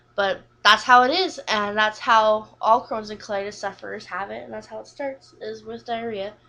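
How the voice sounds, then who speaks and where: A woman talks at a moderate pace with hardly any pauses. Her fairly high pitch has ordinary variation and a bright, sharp tone. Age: 20s. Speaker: vlogger sharing illness story. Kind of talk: personal testimony. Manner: unscripted, occasional stutter.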